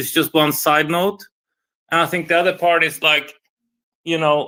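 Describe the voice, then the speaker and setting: On a very clean recording with a silent background, a man with a non-native accent speaks at a moderate pace in a fairly high pitch, with a bright, sharp tone and monotone, flat intonation. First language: not English. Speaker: investor on a live audio panel. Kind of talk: casual discussion on live audio space.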